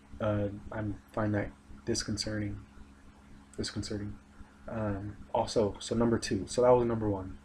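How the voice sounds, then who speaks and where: Somewhat breathy and fairly low in pitch, a man talks at a fairly slow pace with fairly even intonation. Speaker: aspiring English teacher. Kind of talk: recorded video presentation. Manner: monotone; hesitant, many fillers.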